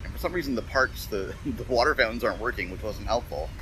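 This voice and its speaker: The room echo is audible. It carries a man's speech. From Canada, Toronto. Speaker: podcast host, business consultant. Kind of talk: casual monologue. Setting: outdoors, on a run.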